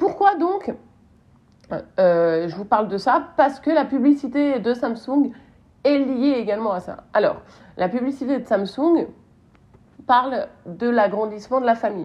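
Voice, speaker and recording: A woman's high voice with very wide pitch swings, at a fairly slow pace with long, frequent pauses. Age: 30s. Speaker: marketing podcast host. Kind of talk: solo podcast commentary. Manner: casual, hesitant with fillers.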